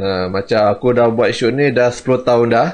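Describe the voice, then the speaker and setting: The intonation stays fairly even. It is a plain, everyday voice. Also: man. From Malaysia. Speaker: comic artist and YouTuber; comic artist, YouTuber. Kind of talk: casual vlog talk to viewers. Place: home room. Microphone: studio mic.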